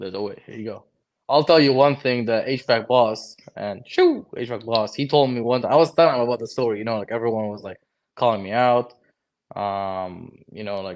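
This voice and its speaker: Against a quiet background, a man with a Lebanese accent talks at a fairly quick pace with medium pitch, ordinary pitch variation, and big swings in loudness. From Lebanon. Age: 20s. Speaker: HVAC technician and content creator. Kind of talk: casual chat. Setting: livestream.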